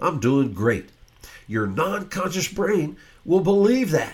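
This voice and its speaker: A man's enthusiastic, animated voice with vocal fry and very wide pitch swings. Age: 70s. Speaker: podcast host, brain health educator. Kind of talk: podcast monologue, educational talk. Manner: informal, conversational, repeats himself.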